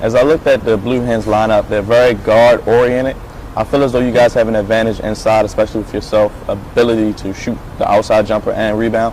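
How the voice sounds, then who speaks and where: Over noticeable background noise, a man talks very fast in a monotone, flat intonation. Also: medium pitch for a man. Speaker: sports play-by-play announcer and host. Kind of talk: sports broadcast reporting and interviewing.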